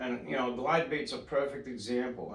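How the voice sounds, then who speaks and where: A man at medium pitch and moderate pace, with audible room echo and noticeable background noise. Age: 50s. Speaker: surf fishing club president. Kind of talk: casual chat.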